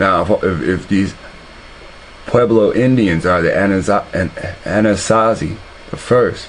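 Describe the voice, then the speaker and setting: Speaking at a fairly slow pace with long, frequent pauses, a man uses a fairly low pitch, very even loudness and fairly even intonation over noticeable background noise. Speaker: online video commentator. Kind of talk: commentary on a replayed video. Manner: halting, many repetitions.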